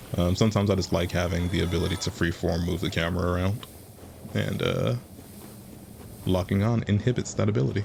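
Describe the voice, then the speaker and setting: Very fast yet broken by long, frequent pauses, a man speaks in a very deep, low voice with vocal fry, lively intonation and very even loudness. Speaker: gaming video creator. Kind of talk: gameplay commentary. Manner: low energy.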